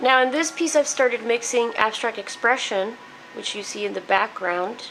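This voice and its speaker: Through noticeable background noise, a woman with a fairly high pitch speaks at a fairly slow pace. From Mexico. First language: Spanish. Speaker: painter. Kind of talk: casual talk about own artwork. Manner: hesitant, many fillers.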